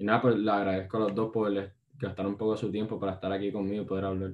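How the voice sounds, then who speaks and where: Speaking at a fairly low pitch, a man delivers his words in a monotone, flat intonation. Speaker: podcast host. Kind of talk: casual interview.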